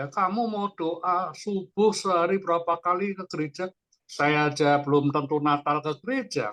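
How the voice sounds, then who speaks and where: Delivery holds to a moderate pace. Pitch shifts in an ordinary way. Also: man, high pitch for a man. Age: 60s. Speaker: participant in an online church fellowship. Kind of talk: casual discussion sharing in a Bible study.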